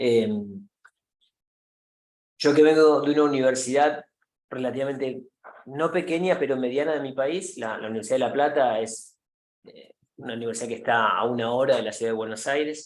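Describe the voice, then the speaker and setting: A man's medium-pitched voice at a moderate pace, with ordinary pitch variation, big swings in loudness, long, frequent pauses and audible room echo. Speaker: professor. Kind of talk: lecture. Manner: halting with fillers.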